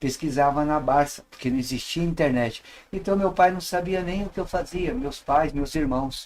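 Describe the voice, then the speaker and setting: The speaker is a man with an unremarkable speaking voice and a fairly high pitch. He talks at a moderate pace with ordinary pitch variation. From São Paulo, Brazil. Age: 60s. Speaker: professor and witchcraft teacher. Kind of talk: podcast interview.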